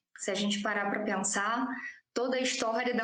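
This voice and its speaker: Heard with audible room echo, a woman speaks in a Rio de Janeiro accent with fairly even intonation. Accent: Rio de Janeiro (carioca) Portuguese. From Brazil, Rio de Janeiro. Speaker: doctoral student, historian. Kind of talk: conference presentation. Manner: halting, many fillers.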